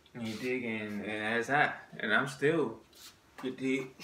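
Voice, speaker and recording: A man talks in an American accent at a moderate pace with ordinary pitch variation. Light background noise and audible room echo surround his voice. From Maryland. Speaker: vlogger. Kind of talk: monologue to camera. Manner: halting. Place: home room. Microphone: phone near.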